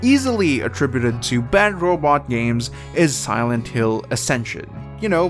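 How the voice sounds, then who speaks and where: A man's very wide pitch swings rise and fall at a moderate pace, with music in the background. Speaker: gaming news commentator. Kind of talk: casual video commentary. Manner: casual, conversational.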